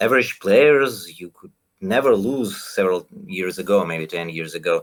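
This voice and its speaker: A man is speaking. He has a Russian accent. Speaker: renju player and coach. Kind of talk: podcast interview. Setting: live stream. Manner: halting.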